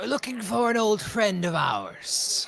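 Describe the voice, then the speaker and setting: A man puts on a character voice, high in pitch. His pace is fairly slow. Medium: actual play. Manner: sneering, swaggering.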